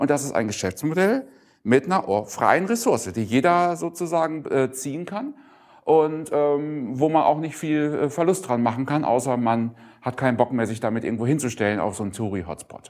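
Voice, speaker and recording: Lively intonation from a man with a fairly high pitch, at a moderate pace. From northwestern Germany (Emsland); northwestern Germany. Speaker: keynote speaker, open source business person; keynote speaker. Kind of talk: conference keynote talk. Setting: conference stage with audience. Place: hall. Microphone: lapel.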